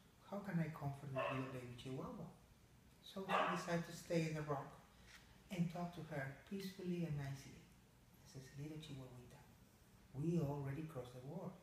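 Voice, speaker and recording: A man talks with long, frequent pauses, big swings in loudness and ordinary pitch variation, with audible room echo and light background noise. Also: fairly high pitch for a man, fairly quick pace. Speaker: pet owner. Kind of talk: bedtime story telling. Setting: talking to a pet dog. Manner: playful, voicing a mama dog character. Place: home room. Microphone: phone near.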